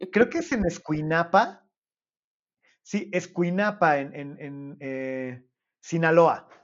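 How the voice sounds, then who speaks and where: A man with a Mexican accent, high pitch, ordinary pitch variation, a very slow pace, long and frequent pauses, and big swings in loudness. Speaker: podcast host. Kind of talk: casual chat.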